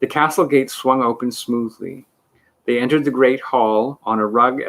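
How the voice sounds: Heard over a quiet background, a natural reading voice rises and falls with ordinary pitch variation.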